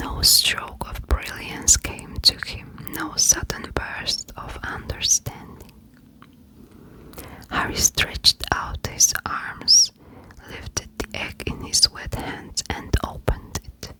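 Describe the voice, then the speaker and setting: In a soothing whisper, the speaker goes at a very slow pace over noticeable background noise. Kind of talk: whispered audiobook-style reading for ASMR. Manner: whispered, close-mic, soothing.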